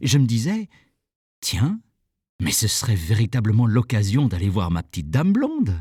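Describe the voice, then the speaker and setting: Recorded dry and close with no echo against a silent, very clean background, a man talks at a moderate pace in a somewhat breathy voice. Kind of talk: short story narration, first person. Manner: conversational, humorous.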